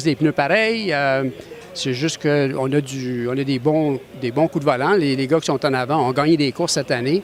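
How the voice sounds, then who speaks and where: Against noticeable background noise, a man talks at a moderate pace with a fairly high pitch and ordinary pitch variation. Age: 60s. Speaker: racing driver. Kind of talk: interview.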